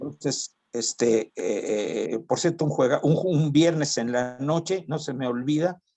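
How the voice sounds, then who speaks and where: A man speaks at a fairly slow pace, barely pausing, his fairly high voice showing a dark, mellow tone. His loudness swings widely, while his pitch variation stays ordinary. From Mexico City. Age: 70s. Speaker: former college football player. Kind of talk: interview. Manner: halting, many fillers and repetitions.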